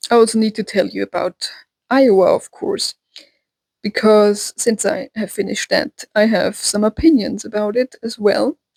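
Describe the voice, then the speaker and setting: A woman at a fairly high pitch, moderate pace and ordinary pitch variation, in a dry, close sound with no echo. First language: German. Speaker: book vlogger. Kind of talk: casual vlog talk. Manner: hesitant with fillers.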